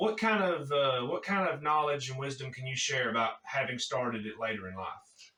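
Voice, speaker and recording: Against noticeable background noise, the speaker moves at a fairly quick pace with lively intonation and hardly any pauses. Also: man, fairly high pitch for a man. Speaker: jiu-jitsu gym owner. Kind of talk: interview host talk.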